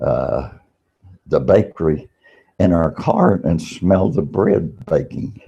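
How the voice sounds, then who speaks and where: Speaking very slowly with long, frequent pauses, a man talks in an American accent. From Virginia, US. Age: 80s+. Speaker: vlogger. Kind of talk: monologue. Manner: halting.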